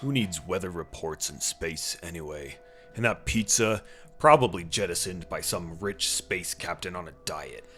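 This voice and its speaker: A man's gruff put-on character voice with a very deep, low pitch, lively intonation and moderate pace, over clear music in the background. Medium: read story. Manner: gruff, wry.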